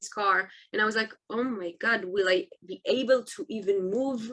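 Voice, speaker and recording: A woman's bright, sharp tone in an Israeli accent, fairly high in pitch, at a moderate pace. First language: Hebrew. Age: 20s. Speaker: army reservist and motivational speaker. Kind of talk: interview. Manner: halting.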